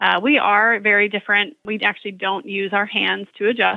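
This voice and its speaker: The voice has vocal fry and moves at a fairly quick pace. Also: woman. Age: 30s. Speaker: chiropractor. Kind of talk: interview.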